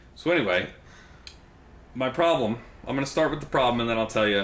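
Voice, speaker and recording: Talking very fast at a medium pitch with ordinary pitch variation, a man is heard over noticeable background noise. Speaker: podcast host, music reviewer. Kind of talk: casual, conversational.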